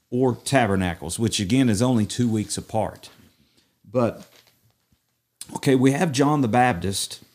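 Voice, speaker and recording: A man speaks at a medium pitch with an East Tennessee accent. His pitch variation is ordinary. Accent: East Tennessee Southern. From US South, East Tennessee. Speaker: messianic rabbi. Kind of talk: bible study discussion.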